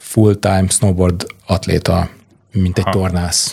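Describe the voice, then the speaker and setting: Quiet and somewhat breathy, a man speaks with a dark, mellow tone and a very deep, low pitch. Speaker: film producer. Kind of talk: casual interview chat. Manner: calm, quiet.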